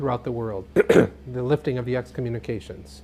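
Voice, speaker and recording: The man's medium-pitched voice is somewhat breathy. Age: 40s. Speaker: TV interviewer. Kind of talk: interview. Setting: TV interview.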